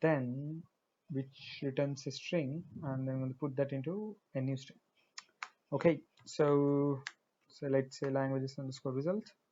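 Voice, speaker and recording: This man, with a Marathi accent, has a fairly high pitch and fairly even intonation. He speaks at a fairly slow pace with long, frequent pauses. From India, Hyderabad. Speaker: programming tutorial creator. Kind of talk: tutorial. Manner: halting, many fillers.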